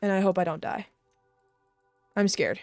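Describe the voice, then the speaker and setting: Music plays in the background as a woman speaks in a dry, close sound with no echo. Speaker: gaming streamer. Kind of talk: live gameplay commentary. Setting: live stream. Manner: casual, animated.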